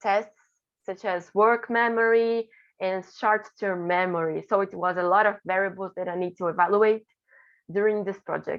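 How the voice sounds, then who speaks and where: A woman with a Portuguese accent speaks at a medium pitch with ordinary pitch variation. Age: 20s. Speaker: graduate student researcher. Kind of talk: conference presentation. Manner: halting, with self-corrections.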